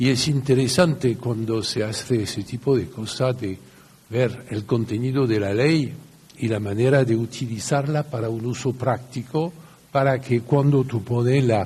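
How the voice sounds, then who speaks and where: A man's somewhat breathy, dark, mellow voice at a medium pitch, with fairly even intonation and a fairly slow pace. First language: French (speaking Spanish). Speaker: lawyer. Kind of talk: lecture.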